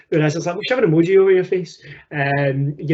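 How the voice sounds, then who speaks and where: A man with a strong Scottish accent talks at a very fast pace in a fairly high pitch. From Scotland. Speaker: teacher and education technology presenter. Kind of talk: webinar presentation. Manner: casual, repetitive with fillers.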